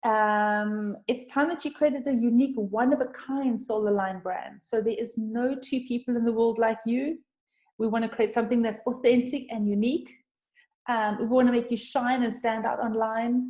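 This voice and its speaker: Her dark, mellow tone sits at a fairly high pitch for a woman. She keeps a moderate pace and fairly even intonation. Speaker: brand designer. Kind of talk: webinar presentation. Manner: halting.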